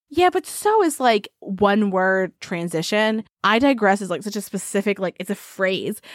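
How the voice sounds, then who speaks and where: A woman with an American accent speaks in a normal speaking voice at medium pitch and a moderate pace, with ordinary pitch variation and hardly any pauses, on a very clean, dry, close recording with a silent background and no echo. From United States. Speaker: podcast host. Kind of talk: casual chat, scripted intro with storytelling.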